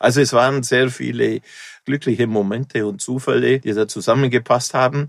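A man talks at a fairly quick pace with lively intonation. His voice carries vocal fry. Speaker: festival founder. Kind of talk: interview. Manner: halting.

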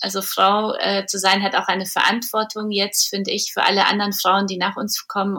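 This woman's tone is bright and sharp, pitched at a medium level. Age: 40s. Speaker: publisher and entrepreneur. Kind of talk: interview conversation. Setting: remote recording.

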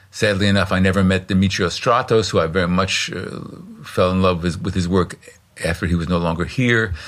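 Over noticeable background noise, a man with a very deep, low voice talks at a fairly quick pace with fairly even intonation. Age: 70s. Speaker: vocalist and experimental music performer. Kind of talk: interview. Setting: in person in Berlin.

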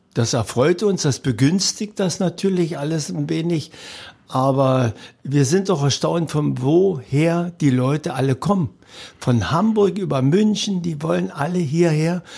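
Dark and mellow in tone, a man's voice moves at a fairly slow pace with lively intonation. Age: 70s. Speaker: sports event organizer, retired teacher. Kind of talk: interview. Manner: halting with frequent fillers.

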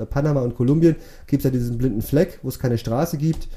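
At a very fast pace, a man speaks in a somewhat breathy voice with a dark, mellow tone and ordinary pitch variation. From Swabia, Bad Liebenzell (Baden-Württemberg), Portuguese family. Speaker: vehicle shipping agent. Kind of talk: casual interview.

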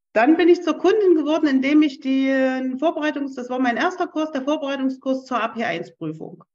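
Hardly pausing at all, the delivery keeps a moderate speed. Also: woman, high pitch for a woman, lively intonation. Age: 40s. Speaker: career changer, former self-employed, retraining as office clerk. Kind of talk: interview. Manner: hesitant, many fillers.

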